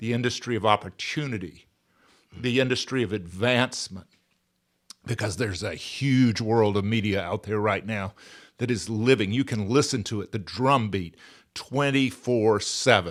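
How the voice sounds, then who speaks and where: Over a very clean recording with a silent background, a man with a Southern US accent speaks at a moderate pace, fairly low in pitch, with ordinary pitch variation. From US South, Georgia. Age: 60s. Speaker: podcaster and author. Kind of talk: casual chat.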